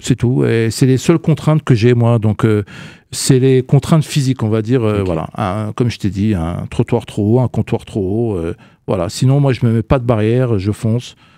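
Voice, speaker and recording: A man at medium pitch speaks at a moderate pace with a dark, mellow tone. The sound is dry with no echo over a quiet background. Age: 40s. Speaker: communication agency director; radio guest. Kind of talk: radio interview. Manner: halting, many hesitations. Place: studio. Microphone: studio mic.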